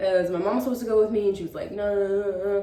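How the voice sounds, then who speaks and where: Noticeable background noise and audible room echo surround a woman speaking at a fairly high pitch for a woman. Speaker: lifestyle vlogger. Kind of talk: casual chat. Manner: halting; filler-heavy.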